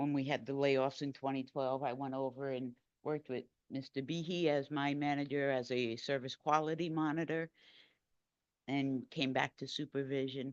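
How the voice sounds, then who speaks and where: In a quiet background with a dry, close sound and no echo, a woman speaks at a moderate pace in a very deep, low pitch with monotone, flat intonation. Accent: New York. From New York. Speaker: transit supervisor. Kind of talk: acceptance remarks. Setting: board meeting room.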